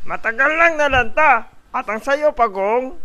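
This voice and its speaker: A high-pitched cartoonish character voice at a fairly slow pace. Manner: boastful, bullying.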